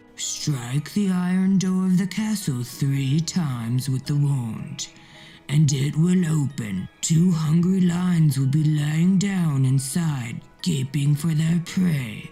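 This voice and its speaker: Faint music plays behind a put-on character voice pitched in the middle range. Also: fairly slow pace. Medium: read story.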